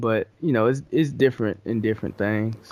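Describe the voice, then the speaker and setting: An unremarkable speaking voice from a man with an American accent, medium in pitch, at a moderate pace with fairly even intonation. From North Carolina (Louisburg), partly New York. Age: 20s. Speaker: hip hop producer. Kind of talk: casual interview.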